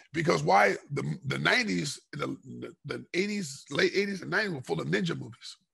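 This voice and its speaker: A man with an American accent talks at a fairly slow pace with hardly any pauses, over a quiet background. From Los Angeles, California. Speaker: martial artist and former MMA fighter; podcast guest. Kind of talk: casual interview chat. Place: kitchen. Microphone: headset.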